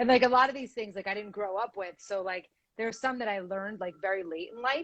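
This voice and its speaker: A woman talks at a very fast pace with an Israeli accent. Her pitch sits in the middle range. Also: ordinary pitch variation. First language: Hebrew. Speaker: podcast guest. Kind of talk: casual chat.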